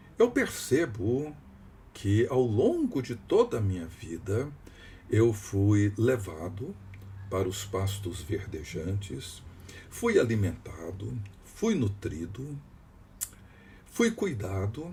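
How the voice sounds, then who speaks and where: At a very slow pace, with long, frequent pauses, a man of fairly low pitch speaks in a dark, mellow, somewhat breathy voice with lively intonation. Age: 60s. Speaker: pastor. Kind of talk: devotional teaching.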